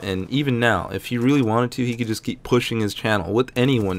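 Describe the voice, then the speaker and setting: A man's medium-pitched voice at a fairly quick pace, in a very clean recording with a silent background. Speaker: gaming youtuber. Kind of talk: gameplay commentary. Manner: fast; casual, rambling with fillers.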